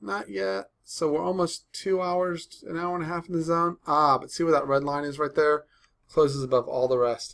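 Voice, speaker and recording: A man speaks at a fairly high pitch with lively intonation. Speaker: day trader reviewing trades. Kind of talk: tutorial. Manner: fast.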